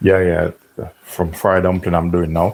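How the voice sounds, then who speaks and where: This man's voice sits at a very deep, low pitch. His intonation is monotone and flat. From Jamaica. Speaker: chef and cooking channel host. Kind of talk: live cooking tutorial. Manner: casual, chatty.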